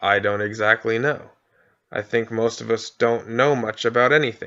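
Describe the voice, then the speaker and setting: A man puts on a raspy character voice at a medium pitch. He keeps a moderate pace over a quiet background. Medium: read story. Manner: very slow.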